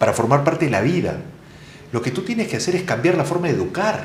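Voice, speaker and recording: A man talks at a fairly quick pace with lively intonation and a fairly high pitch. Audible room echo surrounds his voice. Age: younger than 60. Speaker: education expert. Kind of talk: interview conversation. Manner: analytical, explanatory.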